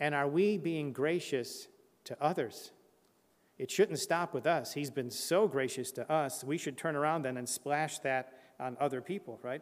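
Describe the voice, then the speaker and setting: The man uses a normal speaking voice at a fairly high pitch. He keeps a moderate pace, with ordinary pitch variation. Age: 60s. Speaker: preacher. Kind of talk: sermon.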